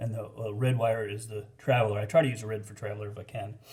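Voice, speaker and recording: A man's somewhat breathy voice, medium in pitch. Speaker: DIY home installer, not an electrician. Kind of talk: casual how-to tutorial. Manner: hesitant, many fillers.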